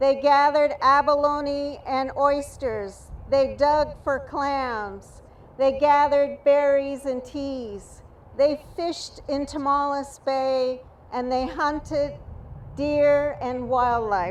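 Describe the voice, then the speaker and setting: A very slow pace with fairly even intonation, in an American accent. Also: woman, high pitch for a woman. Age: 60s. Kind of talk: rally speech.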